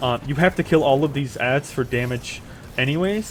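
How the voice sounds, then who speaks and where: At a fairly quick pace, a man talks in an unremarkable speaking voice, with a medium pitch and ordinary pitch variation. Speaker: gaming video creator. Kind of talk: tutorial voiceover. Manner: many filler words.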